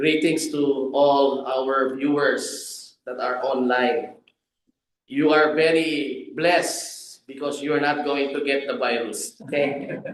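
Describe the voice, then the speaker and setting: A man speaks at a very slow pace with a fairly high pitch and fairly even intonation. Audible room echo surrounds the voice. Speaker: preacher. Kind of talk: sermon. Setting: church pulpit.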